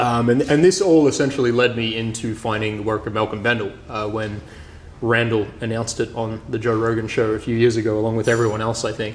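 A man talks at a fairly quick pace, his fairly low voice showing little pitch movement.

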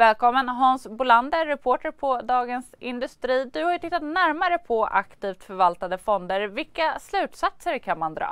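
Against a quiet background, a woman with a high pitch talks at a moderate pace with hardly any pauses and very wide pitch swings, the sound dry with no echo. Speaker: news presenter. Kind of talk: news interview. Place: studio. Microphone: lapel.

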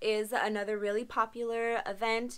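A woman's fairly high, fairly bright voice at a fairly slow pace, with little pitch movement

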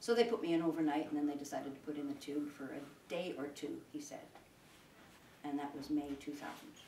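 With audible room echo and light background noise, a woman speaks at a fairly quick pace in a very deep, low pitch and a dark, mellow tone, with ordinary pitch variation. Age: 70s. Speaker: sheep farmer and public speaker. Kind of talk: informal public talk to an audience. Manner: rambling, conversational, with many hesitations. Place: home room. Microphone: camera far.

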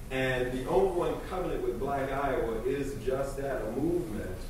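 The voice carries strong room echo. There is light background noise too. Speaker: state official. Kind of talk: public comment. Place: hall.

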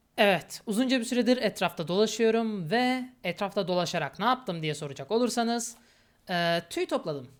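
At a moderate pace, a woman with a medium-pitched voice talks with lively intonation on a very clean recording with a silent background. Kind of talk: gameplay commentary. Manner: casual, with frequent filler hesitations.

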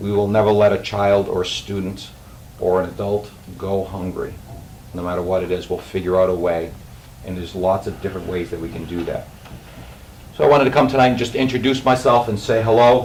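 A man with a slight Boston accent speaks at a fairly low pitch with ordinary pitch variation and long, frequent pauses. Audible room echo and noticeable background noise fill the recording. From Boston area. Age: 50s. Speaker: school food service director. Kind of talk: self-introduction at a public meeting. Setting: school committee meeting.

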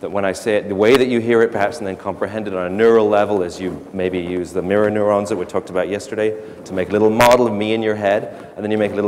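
Light background noise accompanies a man talking at a very fast pace. His pitch is fairly low and his intonation fairly even. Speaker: speaker. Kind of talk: lecture. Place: stage.

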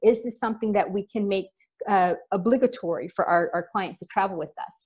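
A woman's voice, with ordinary pitch variation, is heard against a quiet background. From US, Florida. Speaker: travel company founder. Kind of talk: webinar presentation. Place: home room. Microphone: webcam.

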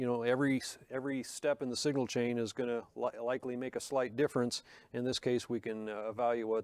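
Very fast speech with monotone, flat intonation comes through a dry sound with no echo and a quiet background. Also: man. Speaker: presenter. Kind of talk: tutorial. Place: studio.

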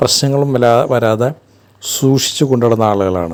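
A man's dark, mellow tone at a medium pitch. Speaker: film commentator. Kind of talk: monologue. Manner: halting.

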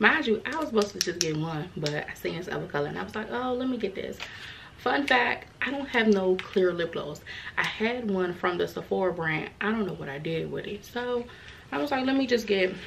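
The pitch swings very widely over light background noise. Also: woman. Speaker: vlogger. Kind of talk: casual vlog chat. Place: home room.

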